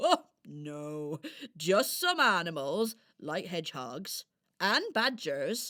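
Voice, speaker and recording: A woman speaks very slowly in a put-on character voice at a medium pitch, recorded very cleanly against a silent background. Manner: gentle, fussing.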